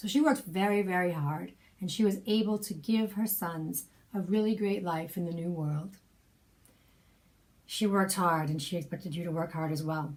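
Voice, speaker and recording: A somewhat breathy woman at medium pitch, moderate pace, ordinary pitch variation, and long, frequent pauses. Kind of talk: personal storytelling, spoken memoir.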